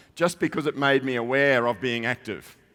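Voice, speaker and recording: In an Australian accent, a man speaks at a fairly quick pace with a medium pitch and ordinary pitch variation on a very clean recording with a silent background. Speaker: IT research advisor. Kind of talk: conference keynote. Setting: stage with audience. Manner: conversational, with frequent fillers.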